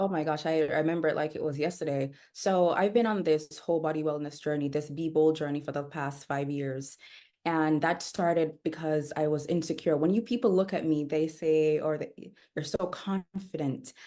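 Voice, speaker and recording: This woman speaks at a moderate pace in a very deep, low pitch with a dark, mellow tone. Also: ordinary pitch variation. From Jamaica, Kingston. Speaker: wellness coach. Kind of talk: podcast interview.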